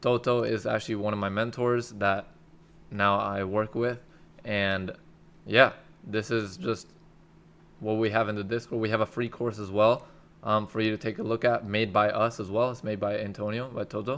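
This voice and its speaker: Using long, frequent pauses, a man with a fairly low pitch talks at a moderate pace. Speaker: daytrading YouTuber. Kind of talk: casual tutorial. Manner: casual, slangy, animated.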